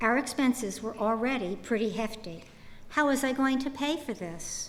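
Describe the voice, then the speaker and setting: The pace is moderate and the pitch varies in an ordinary way. Room echo is audible. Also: woman. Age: 70s. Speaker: retiree sharing health story. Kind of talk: testimony. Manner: formal.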